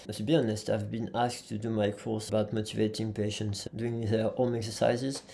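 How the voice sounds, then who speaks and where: A man with a French accent speaks fairly quickly and hardly pauses. His fairly low voice is monotone and flat. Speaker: physiotherapist and trainer. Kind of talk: podcast interview. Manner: halting.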